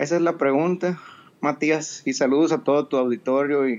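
Here is a man with an ordinary speaking voice, pitched fairly high. He talks at a moderate pace with ordinary pitch variation. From Mexico, Sonora. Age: 50s. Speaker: entrepreneur, audience participant. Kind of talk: casual chat. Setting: live audio app room.

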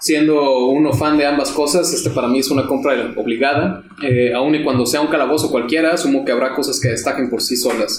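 A fairly high-pitched man speaks at a fairly quick pace with hardly any pauses. His loudness stays very even over noticeable background noise. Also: fairly even intonation. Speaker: tabletop RPG podcast co-host. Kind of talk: casual chat.

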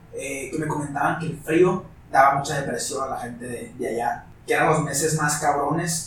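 A man's fairly high voice at a moderate pace, over noticeable background noise. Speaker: music production student and food content creator. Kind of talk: casual chat.

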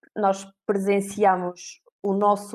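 A woman with a European Portuguese accent speaks at medium pitch in a dark, mellow tone, the sound dry and close with no echo. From Portugal, Viseu. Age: 30s. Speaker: recruitment company manager. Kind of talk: interview.

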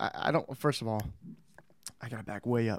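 This man talks with fairly even intonation. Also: dry, close sound with no echo. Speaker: podcast host. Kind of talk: casual chat. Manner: halting.

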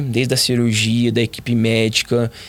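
This is a man speaking at a medium pitch. The recording is very clean, with a silent background. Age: 30s. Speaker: professional footballer. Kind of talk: interview testimony.

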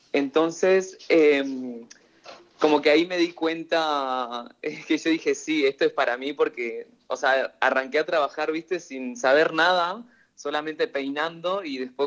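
A man speaks fairly slowly, his pitch fairly high with ordinary variation. It is an unremarkable speaking voice. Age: 20s. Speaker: hairdresser. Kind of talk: interview.

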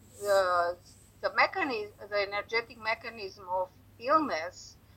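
The woman's voice sits at a medium pitch and has a bright, sharp tone. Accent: Romanian. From Romania. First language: Romanian. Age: 70s. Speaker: energy healer and author. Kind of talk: interview. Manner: halting.

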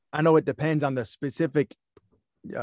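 A man with an American accent talks at a moderate pace in a fairly high pitch, recorded dry and close with no echo against a quiet background. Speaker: podcast host. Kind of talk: interview, podcast host. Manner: upbeat, positive.

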